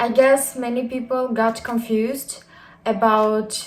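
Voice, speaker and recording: A woman with a fairly high pitch speaks very slowly, keeping her intonation fairly even. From Kyrgyzstan. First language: Kyrgyz (speaking Swedish). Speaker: YouTuber. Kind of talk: casual vlog. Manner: hesitant with many fillers.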